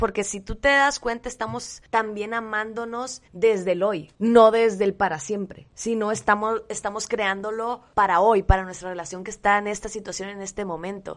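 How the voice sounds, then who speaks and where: An unremarkable speaking voice at a moderate pace, with hardly any pauses and fairly even intonation. Loudness swings widely against a quiet background. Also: woman, fairly high pitch for a woman. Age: 20s. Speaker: podcast co-host. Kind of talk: casual conversation between partners.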